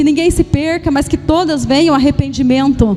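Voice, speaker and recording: Music plays in the background. A woman speaks at high pitch with ordinary pitch variation. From Paraná, southern Brazil. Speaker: pastor. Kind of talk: sermon. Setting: church service. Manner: halting, with frequent repetitions and fillers.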